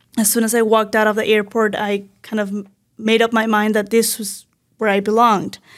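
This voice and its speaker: On a very clean recording with a silent background, a woman with a Spanish accent talks at a fairly quick pace in a fairly high pitch with monotone, flat intonation. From Venezuela. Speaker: mental health counselor. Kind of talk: interview.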